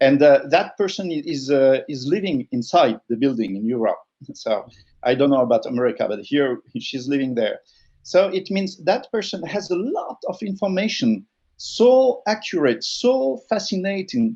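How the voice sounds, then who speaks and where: A man's high-pitched voice with a dark, mellow tone and very wide pitch swings. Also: moderate pace. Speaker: communication consultant, sociologist. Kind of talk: interview. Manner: halting.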